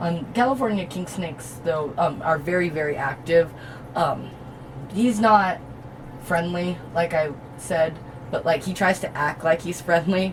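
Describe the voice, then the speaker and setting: Amid noticeable background noise, a woman speaks at a fairly slow pace with long, frequent pauses. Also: fairly low pitch for a woman, ordinary pitch variation. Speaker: reptile keeper and video host. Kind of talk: casual tutorial. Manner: hesitant, many ums.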